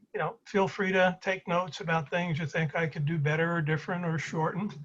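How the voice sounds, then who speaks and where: A high-pitched man with an American accent and fairly even intonation. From Brooklyn, New York (Flatbush). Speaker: presenter sharing personal story. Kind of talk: presentation over video call. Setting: video call.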